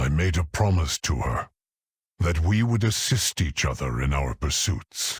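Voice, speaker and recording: Using a put-on character voice, a man talks at a moderate pace. His pitch is very deep and low. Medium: video game. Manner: earnest, calm.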